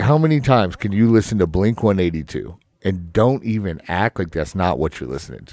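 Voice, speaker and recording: This man has a fairly low pitch that swings very widely. He speaks at a fairly quick pace. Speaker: podcast host, tattoo shop owner. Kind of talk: casual chat. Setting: studio. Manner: animated when projecting, relaxes over time.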